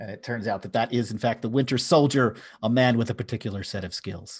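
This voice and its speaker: Against a quiet background, a man with an American accent speaks in a somewhat breathy voice at a medium pitch and a fairly quick pace, with ordinary pitch variation and big swings in loudness. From US, Philadelphia. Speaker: podcast host. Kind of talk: casual chat.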